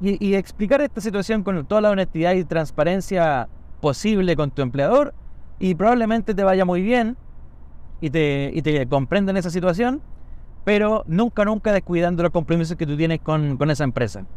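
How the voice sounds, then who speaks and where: A man talks in a Chilean accent at a moderate pace. His pitch is high. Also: lively intonation. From Chile, Santiago (Conchalí). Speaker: podcaster and barbershop owner. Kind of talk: casual monologue. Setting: in a car.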